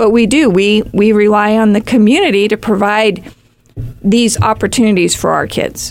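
Her voice is a plain, everyday voice, fairly high for a woman, held at very even loudness with fairly even intonation and a moderate pace. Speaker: youth program staff member. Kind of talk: casual chat.

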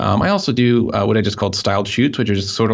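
In a room with audible echo, a man talks at a very fast pace with a fairly low pitch. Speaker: photographer. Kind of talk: casual interview.

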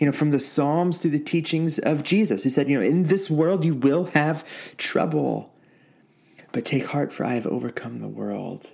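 A man speaks in a plain, everyday voice at a moderate pace. His pitch is fairly high, with ordinary pitch variation. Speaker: pastor. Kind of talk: sermon and prayer. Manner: warm, reflective.

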